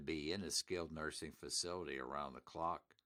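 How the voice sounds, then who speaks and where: A man with an American accent, a very deep, low pitch, vocal fry and a bright, sharp tone, at a moderate pace with ordinary pitch variation, in a dry, close sound with no echo. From Pittsburgh, Pennsylvania (US). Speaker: elder law attorney and radio host. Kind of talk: sponsored radio talk show. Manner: animated, emphatic.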